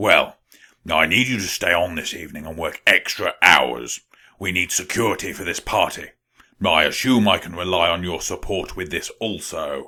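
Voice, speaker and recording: Over a very clean recording with a silent background, a man does a raspy cartoonish character voice with a very deep, low pitch at a moderate pace. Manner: pompous, callous.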